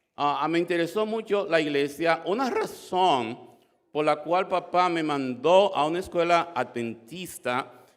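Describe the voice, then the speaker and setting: Talking at a fairly slow pace, a man has a high pitch. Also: ordinary pitch variation. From Dominican Republic. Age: 60s. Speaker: church member giving testimony. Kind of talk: testimony. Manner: halting, many fillers and repetitions.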